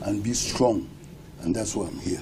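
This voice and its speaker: The room echoes audibly and background noise is noticeable as a man talks at a fairly slow speed. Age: 70s. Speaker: retired public servant. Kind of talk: interview.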